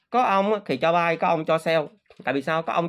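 A man at a high pitch and a very fast pace, over a quiet background. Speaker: crypto trading youtuber. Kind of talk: casual monologue to viewers. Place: home room. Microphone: phone near.

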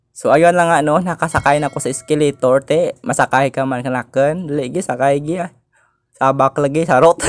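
Against a quiet background, a man talks at a fairly quick pace with a fairly high pitch and fairly even intonation. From Philippines. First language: Hiligaynon (speaking Tagalog). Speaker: vlogger. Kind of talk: casual vlog. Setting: outdoors and in malls.

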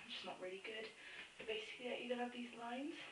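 A woman speaks with ordinary pitch variation. Noticeable background noise runs beneath her voice. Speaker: makeup tutorial maker. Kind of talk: tutorial. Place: home room. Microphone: phone near.

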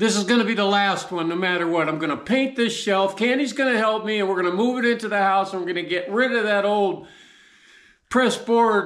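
Against a quiet background, a man speaks in a high voice. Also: ordinary pitch variation. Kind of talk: casual vlog chat. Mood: jovial, laughing. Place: workshop. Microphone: camera far.

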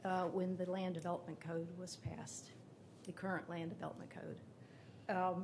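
A woman speaks at medium pitch and a moderate pace. Audible room echo can be heard. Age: 60s. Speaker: public commenter at city council. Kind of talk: public testimony.

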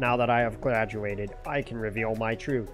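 A man puts on a robotic character voice at medium pitch and a moderate pace. Clear music plays in the background. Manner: mechanical.

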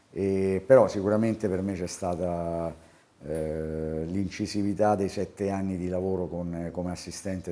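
In a Roman accent, a man talks with a very deep, low pitch, a dark, mellow tone and fairly even intonation. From Rome, Italy; Italy. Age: 60s. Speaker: basketball coach. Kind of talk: interview. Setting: on camera. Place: office. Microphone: lapel.

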